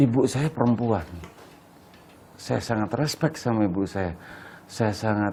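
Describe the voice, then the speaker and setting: A man speaks slowly with long, frequent pauses. His fairly low voice is dark and mellow in tone, with ordinary pitch variation. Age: 60s. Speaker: photographer. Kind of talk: interview. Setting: at his home.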